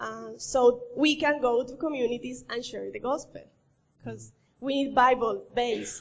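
High-pitched woman's voice with a Colombian accent at a fairly slow pace. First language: Spanish. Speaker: missionary. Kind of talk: church presentation. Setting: church.

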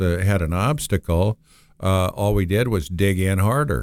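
This man has an American accent and a very deep, low pitch. He speaks at a moderate pace with ordinary pitch variation on a very clean recording with a silent background. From Minnesota, Moorhead. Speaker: business founder. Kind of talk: interview.

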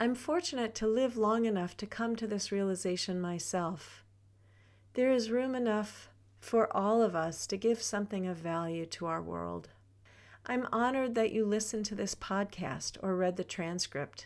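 A woman talks at a moderate pace and medium pitch with ordinary pitch variation, in a plain, everyday voice. The recording is very clean, with a silent background. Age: 60s. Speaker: podcast host and wellness teacher. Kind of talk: personal reflective monologue.

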